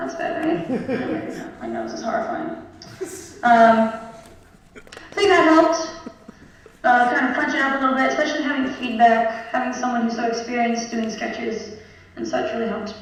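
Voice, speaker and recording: Over noticeable background noise, a woman speaks with a high pitch and lively intonation. She leaves long, frequent pauses. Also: moderate pace. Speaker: kindergarten teacher and sketch writer. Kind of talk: interview answer on stage.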